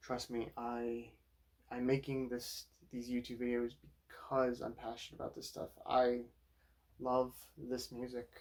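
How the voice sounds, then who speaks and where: A quiet man speaks at a medium pitch and a fairly slow pace. His intonation is monotone and flat, broken by long, frequent pauses. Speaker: vinyl collector YouTuber. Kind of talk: casual record collection review. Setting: home at night. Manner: quiet, low-key.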